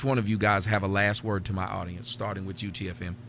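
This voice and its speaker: Music plays in the background as a man with an American accent speaks at a fairly low pitch. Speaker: livestream talk show host. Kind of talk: casual chat.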